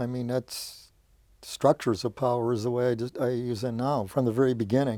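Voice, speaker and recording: Medium pitch from a man with an American accent, monotone and flat, dark and mellow in tone, at a moderate pace, with a dry, close sound and no echo. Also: very clean recording, silent background. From Detroit, US Midwest. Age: 70s. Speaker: poet and lawyer. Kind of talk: interview conversation. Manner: halting, repetitive fillers.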